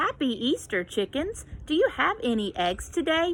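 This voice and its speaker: A woman's put-on character voice, high-pitched with very wide pitch swings, at a moderate pace over light background noise. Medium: read story.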